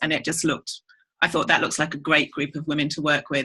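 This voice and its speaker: With an English accent, a woman talks very fast in a bright, sharp tone. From England. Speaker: network marketer. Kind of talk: testimony.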